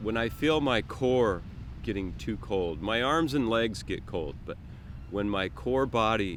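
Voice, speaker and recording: Amid audible room echo, a man with vocal fry talks at a fairly slow pace, his pitch swinging very widely. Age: 60s. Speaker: open water swimmer, club member. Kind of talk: interview. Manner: halting, repeats words.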